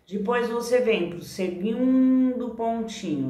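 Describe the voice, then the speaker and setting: Lively intonation and a warm tone from a woman at a very slow pace, with audible room echo. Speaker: therapist and online course teacher; teacher. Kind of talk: tutorial. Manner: warm, conversational. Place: home room. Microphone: phone near.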